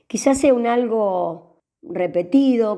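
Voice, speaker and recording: Her tone comes across dark and mellow. This woman speaks very slowly. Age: 60s. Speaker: writer. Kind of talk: interview.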